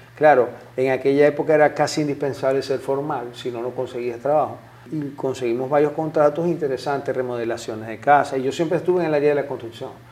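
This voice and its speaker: A man at a very fast pace, fairly high in pitch, with fairly even intonation and noticeable background noise. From Zulia, Venezuela (eastern lake coast, Maracaibo). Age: 50s. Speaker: businessman, civil engineer. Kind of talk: interview.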